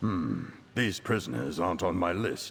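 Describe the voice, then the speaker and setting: Putting on a character voice, a man growls at a very deep, low pitch and a moderate pace. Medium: video game.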